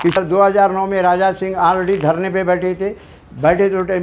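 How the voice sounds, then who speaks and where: This is a man speaking with a high pitch. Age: 70s. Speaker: local resident making complaint. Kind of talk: testimony.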